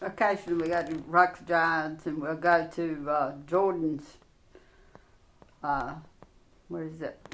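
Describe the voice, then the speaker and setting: With a North Carolina accent, a woman speaks fairly slowly at a fairly low pitch, her intonation fairly even, her loudness swinging widely, and her pauses long and frequent. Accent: US South, North Carolina. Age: 70s. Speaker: interviewee, grandmother. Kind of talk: casual interview.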